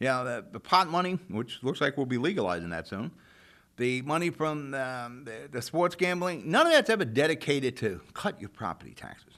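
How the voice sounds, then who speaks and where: A man with an American accent, fairly high-pitched, bright and sharp, animated, at a fairly quick pace, with very wide pitch swings and big jumps in loudness, in a very clean recording over a silent background. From New Jersey, Jersey City. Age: 60s. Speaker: local talk show host. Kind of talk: opinion monologue. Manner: animated, conversational.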